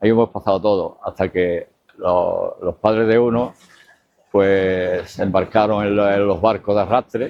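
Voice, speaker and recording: A man with a fairly low voice speaks in a monotone, flat manner at very even loudness. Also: fairly slow pace. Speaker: local resident. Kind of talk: testimony. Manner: halting.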